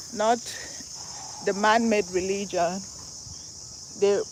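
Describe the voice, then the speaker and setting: There is noticeable background noise as a woman with a Nigerian accent speaks at a fairly slow pace. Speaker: vlogger. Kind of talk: live stream walking vlog. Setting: outdoors. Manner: animated.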